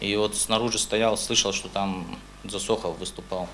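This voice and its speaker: A man speaks at a fairly slow pace in a fairly low, monotone voice with flat intonation, with audible room echo and noticeable background noise. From North Ossetia, Russia (Beslan). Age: 20s. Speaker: court witness. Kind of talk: court testimony. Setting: courtroom.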